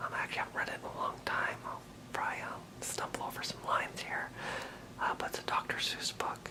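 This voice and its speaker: Whispering at a fairly quick pace, a man with an American accent is heard over noticeable background noise. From Maine. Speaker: aspiring stand-up comedian. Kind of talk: ASMR casual talk to camera. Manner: hesitant.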